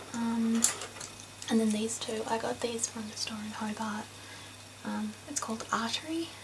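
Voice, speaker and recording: Soft-spoken and in an Australian accent, a woman talks at a moderate pace with fairly high pitch and monotone, flat intonation, with audible room echo and noticeable background noise. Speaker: art YouTuber. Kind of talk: casual haul video. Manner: halting. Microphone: too quiet.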